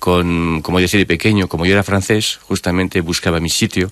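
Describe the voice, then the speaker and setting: His voice sits very deep and low. It belongs to a man. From France. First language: French (speaking Spanish). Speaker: author and personal development coach. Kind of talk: radio interview. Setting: radio studio. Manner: halting.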